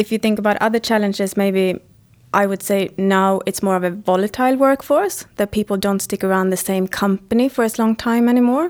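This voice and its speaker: In a Swedish accent, a woman talks at a fairly quick pace with a medium pitch, ordinary pitch variation and very even loudness. The recording is very clean, with a silent background and a dry, close sound with no echo. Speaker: head of global mobility at a tech company. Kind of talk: interview.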